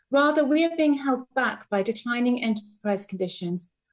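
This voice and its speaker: A woman speaks with music in the background. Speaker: Legatum Institute CEO and member of the House of Lords. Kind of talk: parliamentary speech. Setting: legislative chamber.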